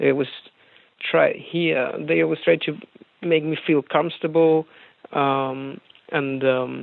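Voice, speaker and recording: With a Spanish accent, a man talks at a moderate pace, his pitch fairly high and its variation ordinary. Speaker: rock singer. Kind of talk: interview. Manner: halting.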